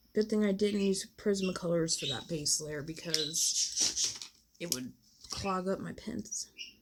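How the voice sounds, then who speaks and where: Against noticeable background noise, a woman speaks fairly slowly at a medium pitch with ordinary pitch variation. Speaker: adult coloring livestreamer. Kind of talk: casual livestream chat while coloring.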